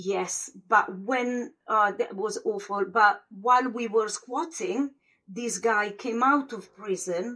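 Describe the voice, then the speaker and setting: The speech comes at a very slow pace. It carries an Italian accent. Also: woman. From Italy, small northern village. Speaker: former squatter, mother. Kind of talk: interview storytelling. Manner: halting.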